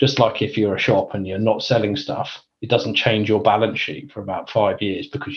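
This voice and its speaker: In a London accent, a man talks at a fairly low pitch with ordinary pitch variation and a somewhat breathy sound. His pace is moderate, with hardly any pauses. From England (Northwest London). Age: 40s. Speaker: chief data officer. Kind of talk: interview.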